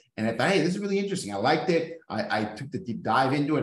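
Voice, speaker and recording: A man with a Californian accent, with audible room echo around him. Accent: Californian-sounding American English. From Mexico, US border. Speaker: real estate business owner. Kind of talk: casual chat.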